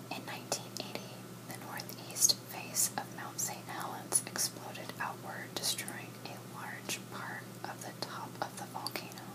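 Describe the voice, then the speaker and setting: Whispering at a fairly slow pace, a woman with an American accent uses a soothing, calm tone over noticeable background noise. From Washington State, USA. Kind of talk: ASMR whisper fun-facts reading. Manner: whispered, soothing, calm.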